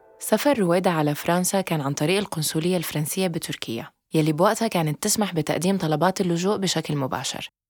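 A woman speaks with a fairly low pitch and ordinary pitch variation, hardly pausing at all. Music plays in the background. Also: moderate pace. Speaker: podcast host. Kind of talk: scripted narration with interview.

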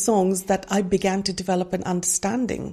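A woman of medium pitch speaks at a moderate pace in a dark, mellow tone with vocal fry. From India. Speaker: Bible study ministry leader. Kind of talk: interview testimony.

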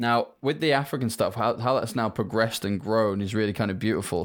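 A man with a British accent speaks at a medium pitch. The recording is very clean, with a silent background. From UK. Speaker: company founder. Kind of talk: casual interview chat.

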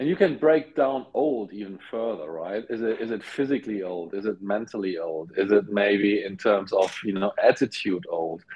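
A man's fairly low voice at a moderate pace, with lively intonation and noticeable background noise. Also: hardly any pauses. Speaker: podcast host. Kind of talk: casual interview conversation. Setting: video call.

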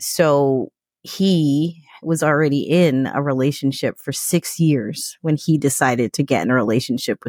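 A woman with an American accent and a very deep, low pitch speaks at a moderate pace with ordinary pitch variation, recorded very cleanly against a silent background with a dry, close sound and no echo. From New York. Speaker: podcast guest. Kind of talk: casual interview.

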